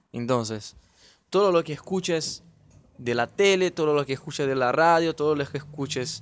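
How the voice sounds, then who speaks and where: A man with a fairly high voice shows ordinary variation in his pitch. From Brazil. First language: Portuguese (speaking Spanish). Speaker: podcast host. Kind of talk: casual chat.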